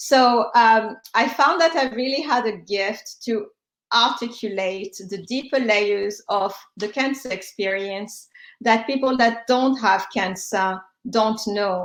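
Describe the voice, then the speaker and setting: In a French accent, the speaker talks at a very slow pace with ordinary pitch variation. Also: woman, fairly high pitch for a woman. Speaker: cancer survivor and health tech founder. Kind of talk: panel discussion. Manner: halting, many fillers.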